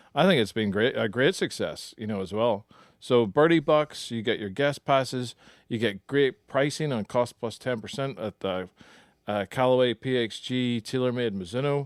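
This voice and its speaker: In a Northern Irish accent, a man speaks with ordinary pitch variation on a very clean recording with a silent background and a dry, close sound with no echo. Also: medium pitch for a man, moderate pace. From Northern Ireland. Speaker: golf club manager and podcast co-host. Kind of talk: casual chat.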